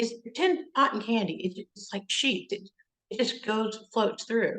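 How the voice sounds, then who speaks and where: A woman with an ordinary speaking voice, fairly high in pitch with ordinary pitch variation, fairly slow, with big swings in loudness. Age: 60s. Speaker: interviewer, breast cancer advocate. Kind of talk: interview.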